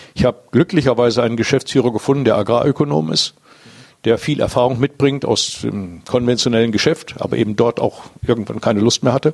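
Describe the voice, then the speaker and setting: A man speaks very fast at a medium pitch, with vocal fry, ordinary pitch variation and big swings in loudness. The sound is dry and close, with no echo. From northwest Germany, around Diepholz (Lower Saxony). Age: 60s. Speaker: business owner. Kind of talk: interview. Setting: at his company premises. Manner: halting, many fillers.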